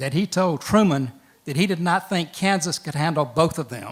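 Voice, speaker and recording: A man with a Southern US accent speaks at a moderate pace in a high voice with ordinary pitch variation. The recording is very clean, with a silent background. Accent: Southern US (Georgia). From Georgia, US South (Macon). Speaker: lawyer and storyteller. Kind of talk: storytelling. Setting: stage with audience.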